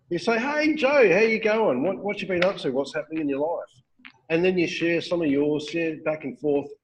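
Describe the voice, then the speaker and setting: With an Australian accent, a man speaks at a moderate pace in a high pitch with lively intonation. Light background noise can be heard. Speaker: network marketing recruiter and trainer; trainer. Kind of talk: training talk on a call. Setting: phone call. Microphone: webcam.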